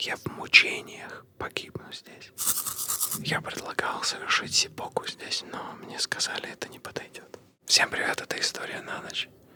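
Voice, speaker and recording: A man whispers at a fairly slow pace in a calm tone, his loudness swinging widely. Background noise is noticeable. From grew up in Kazakhstan, lives in Moscow. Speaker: comedian and podcast co-host. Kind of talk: whispered personal story told to camera for ASMR. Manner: whispered, soft, calm.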